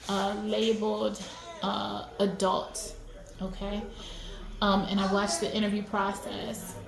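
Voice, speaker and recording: Amid noticeable background noise and audible room echo, a woman speaks at a medium pitch and a fairly slow pace, in monotone, flat intonation with long, frequent pauses. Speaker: video commentator. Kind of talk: video analysis monologue. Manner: hesitant, many fillers; loud.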